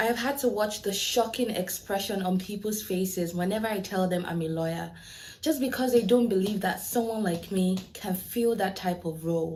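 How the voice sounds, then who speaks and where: With an African accent, a woman speaks at a moderate pace and ordinary pitch variation. The room echo is audible, and background noise is noticeable. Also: medium pitch for a woman. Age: 20s. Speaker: lawyer. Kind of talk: prepared speech in a video.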